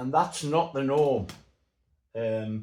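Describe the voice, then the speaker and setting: A man's somewhat breathy voice at a fairly slow pace. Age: 60s. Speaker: model aircraft builder. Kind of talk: tutorial. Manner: casual.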